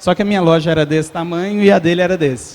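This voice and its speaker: A man with a Belo Horizonte accent talks at a moderate pace in a high pitch. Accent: Belo Horizonte (mineiro). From Minas Gerais, Brazil (Belo Horizonte). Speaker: entrepreneur, startup founder. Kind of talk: talk to live audience. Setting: stage with audience. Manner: conversational, informal.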